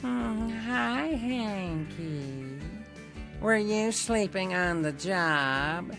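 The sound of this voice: A whiny put-on character voice at middle pitch speaks at a very slow pace. Loud music plays in the background.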